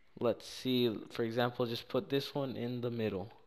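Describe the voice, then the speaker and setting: This man speaks at medium pitch. His pace is moderate. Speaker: gaming YouTuber. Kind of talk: casual screen-recorded tutorial narration. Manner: casual, slangy, hesitant with fillers.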